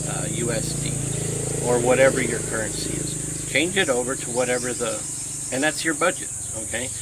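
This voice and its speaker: Against noticeable background noise and audible room echo, a man with an American accent talks at a moderate pace and a fairly high pitch. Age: 60s. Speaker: vlogger on retiring abroad. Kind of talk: casual vlog talk. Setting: outdoors by rice fields.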